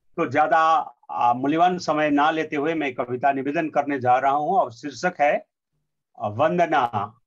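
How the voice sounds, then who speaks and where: Ordinary pitch variation marks a man's fairly high-pitched speech. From Sikkim, India. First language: Nepali (speaking Hindi). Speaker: poet and translator. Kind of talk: formal speech. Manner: halting, with fillers.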